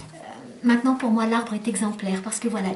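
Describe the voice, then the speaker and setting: A woman speaks with a fairly high pitch and fairly even intonation. Noticeable background noise runs under her voice. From Lebanon, French-speaking home, moved to France at 12. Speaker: children's book author. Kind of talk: interview. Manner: hesitant, many fillers.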